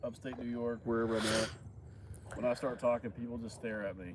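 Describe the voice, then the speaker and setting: This man has a medium-pitched voice and an Arkansas accent. He talks at a fairly quick pace. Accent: Arkansas southern. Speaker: farmer and building inspector. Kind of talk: casual chat.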